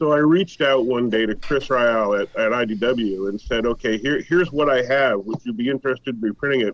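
He has an ordinary speaking voice with a medium pitch. This man talks at a fairly quick pace, and his pitch varies in an ordinary way. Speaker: comics historian and writer. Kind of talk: interview.

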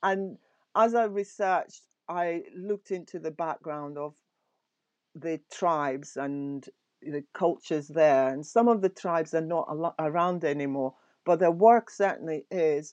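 Against a quiet background, a woman speaks at a fairly slow pace with a fairly low pitch and ordinary pitch variation. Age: 60s. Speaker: knitwear designer. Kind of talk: casual chat. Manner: warm.

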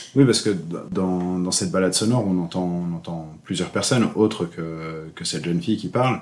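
This man's voice sits at a very deep, low pitch. His intonation is lively. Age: 30s. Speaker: entrepreneur and association president. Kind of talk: casual interview. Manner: halting, many hesitations.

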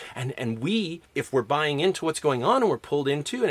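In a Canadian accent, a plain, everyday voice moves at a fairly quick pace with lively intonation. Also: man. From Canada, Alberta. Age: 40s. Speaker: English professor and podcast host. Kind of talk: lecture.

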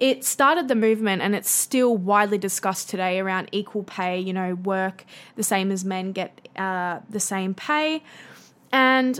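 A woman with a strong Australian accent, medium-pitched, with ordinary pitch variation, on a very clean recording with a silent background. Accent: broad Australian. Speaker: podcast host. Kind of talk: solo educational podcast monologue. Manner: casual, chatty with fillers.

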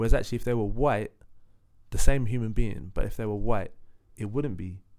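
In a London accent, a man speaks at a fairly quick pace with fairly even intonation. His voice sits fairly low, with a dark, mellow tone. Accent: London, multicultural London English. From East London (Leytonstone). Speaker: singer. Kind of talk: casual chat.

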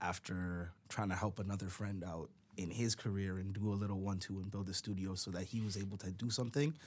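A man's fairly low-pitched voice at a fairly quick pace, fairly even in intonation, in a very clean recording with a silent background. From Canada, Brampton, Ontario. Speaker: rapper. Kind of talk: casual interview.

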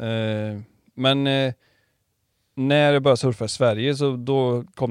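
In a normal speaking voice, the speaker moves at a fairly slow pace with fairly even intonation. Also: man. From Karlstad, Värmland. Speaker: podcast host and surf shop owner. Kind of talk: casual interview. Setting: small podcast studio in his shop.

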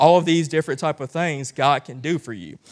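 Heard in a very clean recording with a silent background, a man speaks at a moderate pace. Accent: Southern US. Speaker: guest preacher. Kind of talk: sermon. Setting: church with congregation. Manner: halting with many fillers.

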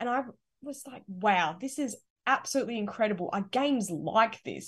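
A woman with an Australian accent speaks at a moderate pace with lively intonation. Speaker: gaming podcast co-host. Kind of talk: casual chat.

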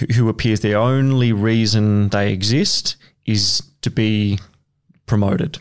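In an Australian accent, a man speaks at a medium pitch with fairly even intonation. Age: 30s. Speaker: guest musician. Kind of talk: casual chat.

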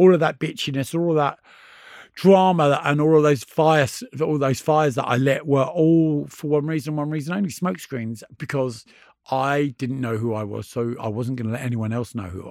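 With a British accent, a man speaks fairly quickly at a fairly high pitch in a very clean recording with a silent background. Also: ordinary pitch variation, big swings in loudness. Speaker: DJ and author. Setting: studio.

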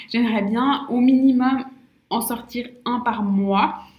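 In a room with audible echo, a woman speaks at a high pitch with fairly even intonation. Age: 20s. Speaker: naturopath and podcast host. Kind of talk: casual solo monologue. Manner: hesitant, many fillers and repetitions.

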